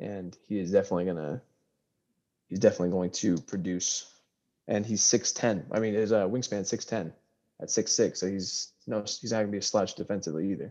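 With an American accent, a man talks in a normal speaking voice, fairly low and fairly even in intonation, at a fairly quick pace over a quiet background. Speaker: podcast co-host. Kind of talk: casual chat.

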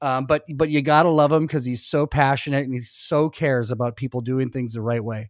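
A man's medium-pitched, ordinary speaking voice with an American accent, fairly quick and hardly pausing, fairly even in intonation, on a very clean recording with a silent background. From Minnesota. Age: 50s. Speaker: comedian. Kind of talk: casual interview chat.

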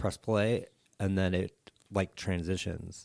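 On a very clean recording with a silent background, a man talks in a normal speaking voice at a moderate pace with fairly even intonation. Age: 30s. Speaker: musician and political commentator. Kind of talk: casual chat.

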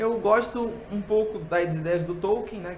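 A man's voice with ordinary pitch variation, amid noticeable background noise and audible room echo. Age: 20s. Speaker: church speaker and thinker. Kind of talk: casual interview chat.

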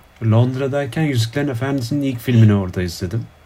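A man speaks at a very fast pace in a medium pitch. His tone is dark and mellow, and somewhat breathy. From Turkey. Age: 20s. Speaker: PhD student in political science. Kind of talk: casual chat. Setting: video call. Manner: hesitant, many fillers.

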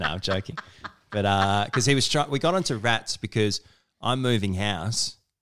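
A man with an Australian accent, fairly low in pitch, with ordinary pitch variation, very even loudness and a moderate pace. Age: 30s. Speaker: podcast host. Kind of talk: casual chat. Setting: at home.

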